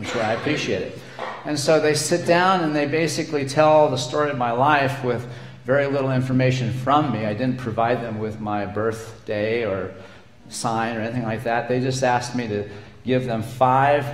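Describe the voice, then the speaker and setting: Amid noticeable background noise and audible room echo, the voice moves at a moderate pace with ordinary pitch variation. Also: man, medium pitch for a man. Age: 60s. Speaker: minister. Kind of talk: sermon.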